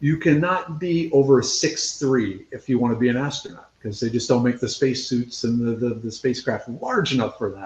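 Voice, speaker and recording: At a moderate pace, a man with an unremarkable speaking voice talks in a medium pitch with lively intonation. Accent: American. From central Minnesota. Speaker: scientist and foraging instructor. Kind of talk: interview. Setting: live video interview. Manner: casual, conversational.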